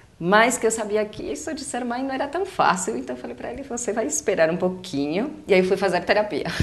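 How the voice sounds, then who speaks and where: Over noticeable background noise, a woman with a fairly high pitch talks at a fairly quick pace with hardly any pauses, very wide pitch swings and big swings in loudness. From Uruguay. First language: Spanish (speaking Portuguese). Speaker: psychologist and educator. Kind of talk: casual chat. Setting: webcast.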